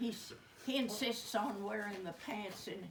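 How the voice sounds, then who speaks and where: This woman talks at a very slow pace with a medium pitch and ordinary pitch variation. The recording has noticeable background noise and audible room echo. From Oklahoma. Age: 80s+. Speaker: comedian. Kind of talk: stand-up.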